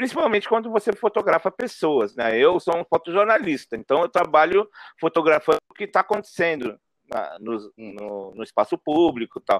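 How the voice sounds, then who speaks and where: Recorded very clean against a silent background, with a dry, close sound and no echo, a man speaks in a high pitch with very wide pitch swings at a moderate pace. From São Paulo, North Zone, Brazil. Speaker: photojournalist and street artist. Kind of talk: interview conversation.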